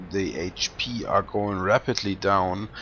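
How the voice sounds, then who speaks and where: In a fairly low voice, a man speaks with a non-native accent. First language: not English. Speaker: gameplay commentator. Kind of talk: video game commentary. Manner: halting, many fillers.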